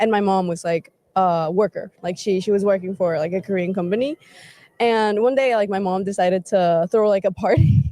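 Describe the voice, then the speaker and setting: In a dry, close sound with no echo, a woman with a Spanish accent talks at a fairly quick pace and medium pitch with ordinary pitch variation. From Mexico, Querétaro. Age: 20s. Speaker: interviewee. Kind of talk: interview. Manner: casual, filler-heavy.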